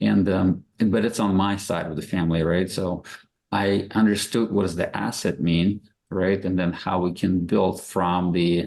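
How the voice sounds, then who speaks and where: In a Russian accent, a man speaks at a fairly slow pace with a very deep, low pitch and monotone, flat intonation. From Russia, Moscow. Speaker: real estate investor. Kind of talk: podcast interview.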